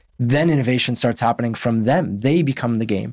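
Recorded very cleanly with a silent background, an unremarkable speaking voice moves at a fairly quick pace. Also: man. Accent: Canadian. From Canada, Winnipeg. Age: 30s. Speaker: football coach. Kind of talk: interview conversation.

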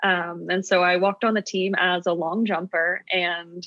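A woman with an ordinary speaking voice, an American accent, medium pitch and fairly even intonation. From US, New York City. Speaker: startup co-founder, former college track athlete. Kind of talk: podcast interview.

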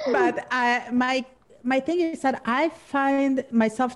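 Her pitch shifts in an ordinary way. This woman speaks with a Spanish accent. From Argentina. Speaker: podcast host. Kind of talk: casual interview chat.

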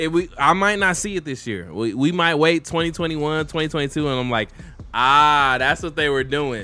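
With music in the background, a fairly high-pitched man talks in an animated tone at a fairly slow pace. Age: 30s. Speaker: podcast co-host. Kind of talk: casual chat over beer. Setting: video recording.

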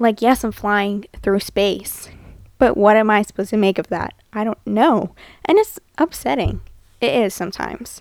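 A woman with an American accent, medium pitch, ordinary pitch variation and a moderate pace, in a dry, close sound without echo. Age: young. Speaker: podcast host. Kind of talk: casual monologue.

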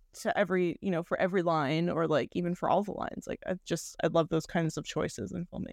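Over a quiet background, a woman talks very fast with hardly any pauses, in a fairly low pitch with vocal fry. Her pitch variation is ordinary, and the sound is dry and close with no echo. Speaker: screenwriter and filmmaker. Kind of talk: casual interview chat.

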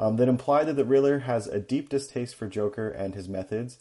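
Speaking at a fairly quick clip, a man with a slight Canadian accent has a dark, mellow tone. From Canada. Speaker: fact checker. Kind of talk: prepared segment reading. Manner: frequent hesitations (um, uh).

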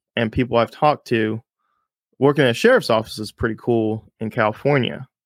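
A man with an American accent at a medium pitch, in a dry, close sound with no echo. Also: very clean recording, silent background. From Texas, Houston. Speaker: police officer, podcast host. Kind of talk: casual chat.

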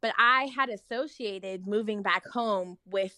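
At a fairly slow pace, a woman with an American accent speaks at medium pitch with ordinary variation and a bright, sharp tone, recorded very cleanly against a silent background with a dry, close sound and no echo. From Oakland, California. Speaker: lawyer. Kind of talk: casual chat.

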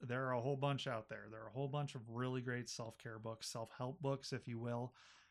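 The man has an American accent and an ordinary speaking voice. His pitch is medium and his intonation fairly even. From Buffalo, New York. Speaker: librarian, podcast host. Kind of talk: casual chat.

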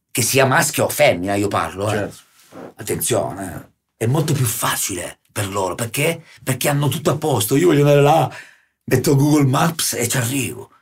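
The man's medium-pitched voice is somewhat breathy. He speaks at a moderate pace with lively intonation. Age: 40s. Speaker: guest artist / local personality. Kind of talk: casual chat. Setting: studio.

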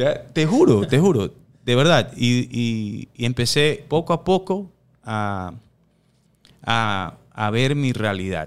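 A man at a very slow pace and medium pitch, with very wide pitch swings, on a very clean recording with a silent background. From New York, USA (Ecuadorian-born, raised in US from age 4). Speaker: boxing coach. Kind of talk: casual chat.

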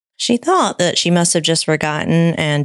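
A woman's plain, everyday voice, fairly low in pitch, at a moderate pace. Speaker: podcast co-host. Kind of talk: casual chat, podcast banter.

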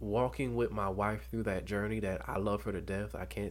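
The speaker talks at a fairly quick pace with an American accent and vocal fry. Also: man. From US South, Dothan, Alabama. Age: 20s. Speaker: college student and former ceremonial guardsman. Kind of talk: personal testimony in interview.

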